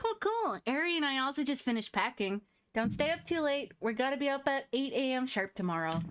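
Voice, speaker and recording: In a put-on character voice, a woman sounds squeaky and high-pitched, swinging very widely in pitch at a fairly quick pace with very even loudness on a very clean recording with a silent background. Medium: game stream.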